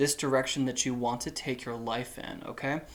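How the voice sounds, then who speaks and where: This man is soft-spoken. He talks at a moderate pace. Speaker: tarot reader. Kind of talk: tarot reading. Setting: indoors, warm room.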